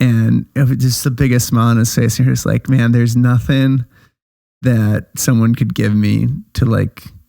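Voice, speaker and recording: Speaking with an American accent, a man keeps a moderate pace, a dark, mellow tone and medium pitch, with monotone, flat intonation and very even loudness. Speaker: podcast co-host. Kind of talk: casual chat.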